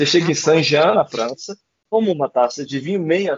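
A man's ordinary speaking voice, fairly high-pitched, at a fairly quick pace with lively intonation. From Brazil, Goiás. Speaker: poet and writer. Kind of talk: casual interview chat.

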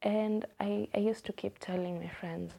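With a Kenyan accent, a woman speaks at a fairly slow pace in a fairly low pitch and a dark, mellow tone. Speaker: podcast host. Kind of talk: solo podcast monologue, casual. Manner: casual, chatty, warm.

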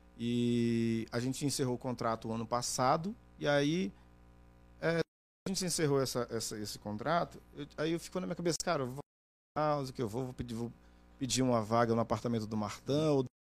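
Speaking fairly quickly but with long, frequent pauses, a man keeps a medium pitch and ordinary pitch variation. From Brazil, Pará (Oriximiná), moved to Manaus at 15. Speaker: journalist and TV interviewer. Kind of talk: casual chat.

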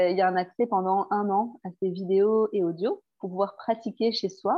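Fairly slow speech from a woman at a medium pitch, her intonation fairly even. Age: 30s. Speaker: therapist and former midwife. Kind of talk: casual interview. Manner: halting, with many fillers.

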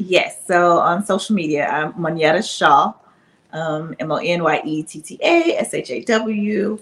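Delivered at a fairly slow pace, the speech has big swings in loudness and ordinary pitch variation. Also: woman, medium pitch for a woman. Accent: Southern US. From Alabama, US South. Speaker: reality TV cast member. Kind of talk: casual chat.

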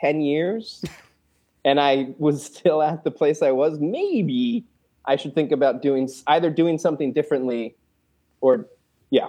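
Against a quiet background, a man with a fairly high pitch and an American accent speaks at a fairly slow pace with lively intonation. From US Northeast. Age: 30s. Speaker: puppeteer and web series creator. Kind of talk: casual interview chat.

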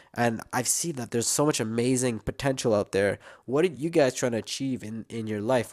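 There's an unremarkable speaking voice here, a man at medium pitch and moderate pace. The recording is very clean, the background silent. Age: 20s. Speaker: youtuber. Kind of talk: casual monologue. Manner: casual, with many fillers.

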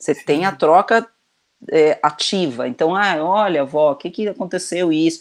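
Quiet surroundings and a woman's voice with ordinary pitch variation. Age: 50s. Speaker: video director and children's author. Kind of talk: casual chat. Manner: halting, many repetitions.

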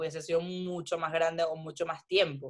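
Very deep and low in pitch, a woman speaks at a fairly quick pace. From Venezuela. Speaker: food photographer. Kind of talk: interview.

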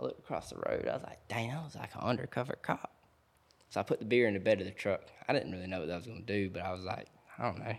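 Talking at a very fast pace with a Georgia accent, a man uses lively intonation and a fairly low pitch. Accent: Southern US, Georgia. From US South, south Georgia (Thomasville area). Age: 20s. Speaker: outdoors social media influencer. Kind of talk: casual chat. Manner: animated.

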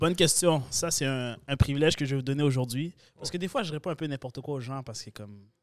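Delivered at a very fast pace in a Quebec accent, the speech shows big swings in loudness and ordinary pitch variation. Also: man, fairly high pitch for a man. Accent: regional Quebec accent others often notice. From Quebec, Sherbrooke. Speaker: content creator. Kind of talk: casual chat.

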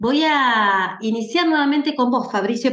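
In a room with audible echo, a woman speaks with very wide pitch swings. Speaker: podcast host and moderator. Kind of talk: moderated panel conversation.

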